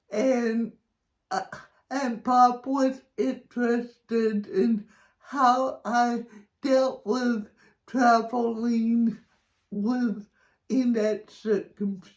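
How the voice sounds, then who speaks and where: Speaking at a very slow pace with long, frequent pauses, a woman uses an American accent. Her pitch is fairly high and her intonation fairly even. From Texas, El Paso. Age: 60s. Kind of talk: personal storytelling to camera. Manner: halting, many fillers and repeats.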